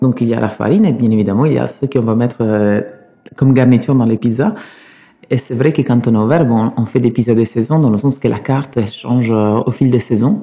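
In an Italian accent, a man talks at a fairly quick pace and a medium pitch, his intonation fairly even and his loudness very even. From Sicily, Italy. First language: Italian (speaking French). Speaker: pizza chef. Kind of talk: interview. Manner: halting.

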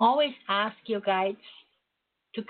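A woman with a German accent speaks at a moderate pace in a medium pitch. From Germany, Berlin. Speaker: psychic radio host. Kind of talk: spiritual teaching talk; psychic reading call-in show. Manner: hesitant, many fillers.

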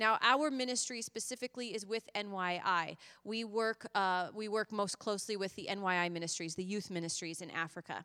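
A woman with an American accent talks at a fairly quick pace, with a bright, sharp tone and lively intonation. The recording is very clean, with a silent background. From US Midwest, Indiana. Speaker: missionary. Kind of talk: church presentation. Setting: church service.

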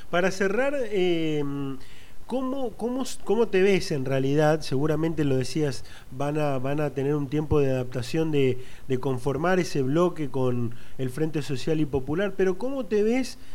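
With an Argentine accent, a man speaks at a fairly slow pace in a fairly high voice with lively intonation, amid audible room echo and noticeable background noise. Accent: Rioplatense Argentine Spanish. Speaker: political news interviewer. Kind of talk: interview.

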